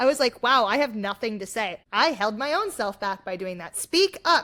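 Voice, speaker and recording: A woman's raised, projected voice, bright and sharp and animated, in an American accent with very wide pitch swings, on a very clean recording with a silent background. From US Midwest, South Bend, Indiana. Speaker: singer and actor. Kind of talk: casual chat.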